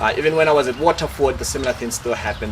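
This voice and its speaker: Noticeable background noise accompanies the voice of a man as he talks. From Lesotho. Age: 20s. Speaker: scholarship graduate. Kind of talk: testimony. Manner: halting, many fillers.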